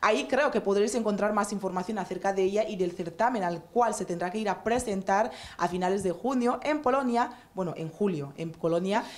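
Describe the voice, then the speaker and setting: A woman speaks fairly quickly at a medium pitch with ordinary pitch variation. Background noise is noticeable. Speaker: talk show host. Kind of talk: casual chat.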